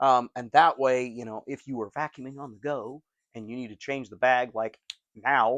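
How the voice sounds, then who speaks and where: A man speaks in an unremarkable speaking voice at a medium pitch and moderate pace, with a dry, close sound with no echo and a quiet background. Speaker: vacuum cleaner collector and reviewer. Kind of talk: casual talk to camera.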